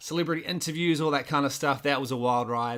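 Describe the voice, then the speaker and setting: A man with a New Zealand accent, medium in pitch, with ordinary pitch variation and a bright, sharp tone, on a very clean recording with a silent background. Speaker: filmmaker and content creator. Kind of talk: podcast interview. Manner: casual.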